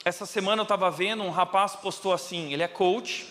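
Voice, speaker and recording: In a very clean recording with a silent background, a man projects a raised voice with a bright, sharp tone. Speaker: pastor. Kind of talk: sermon.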